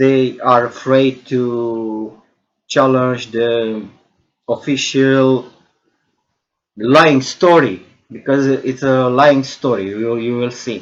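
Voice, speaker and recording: A man with a Romanian accent speaks very slowly, with long, frequent pauses. His intonation stays fairly even. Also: medium pitch for a man. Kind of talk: monologue video lecture. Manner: halting, many fillers and repetitions.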